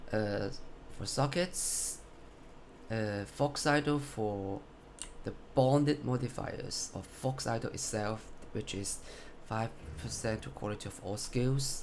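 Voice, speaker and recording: A man with a medium pitch and a non-native accent speaks at a very slow pace with ordinary pitch variation. He takes long, frequent pauses. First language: not English. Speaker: gamer showing a build. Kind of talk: game build tutorial. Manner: halting, self-correcting.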